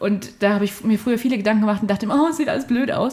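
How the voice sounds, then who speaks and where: A woman speaks at a very fast pace with a fairly high pitch. Her voice is somewhat breathy. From Germany, Fulda (Hesse). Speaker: university student. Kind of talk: casual chat. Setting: studio in a flat.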